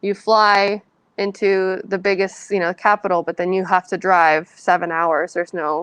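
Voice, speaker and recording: A woman with a Californian accent at medium pitch and moderate pace, flat and monotone, in a dry, close sound with no echo and a quiet background. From San Francisco Bay Area, California. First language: Spanish. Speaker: author. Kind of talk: Q&A at a book reading. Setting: library event with audience.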